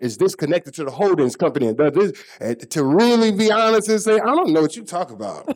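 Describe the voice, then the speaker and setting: Using an unremarkable speaking voice with an American accent, a man talks at a moderate pace with lively intonation. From Texas. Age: 40s. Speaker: former football player. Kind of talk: interview.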